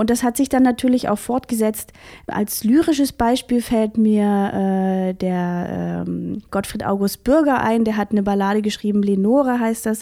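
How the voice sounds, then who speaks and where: In a very clean recording with a silent background, a woman with a fairly high pitch and a dark, mellow tone speaks at a fairly slow pace with ordinary pitch variation. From Saxony, Vogtland (Germany). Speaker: academic researcher. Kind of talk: interview.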